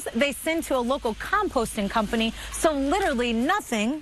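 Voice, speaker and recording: A woman with a high voice speaks at a fairly slow pace, her pitch swinging very widely, against noticeable background noise. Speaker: TV reporter and host. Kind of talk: TV news report.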